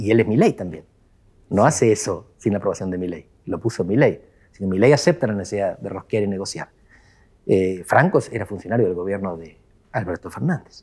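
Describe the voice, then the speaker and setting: A man's fairly low voice with ordinary pitch variation, at a fairly quick pace, over a quiet background. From Argentina. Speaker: political scientist; guest. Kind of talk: interview. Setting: office. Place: studio. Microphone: lapel.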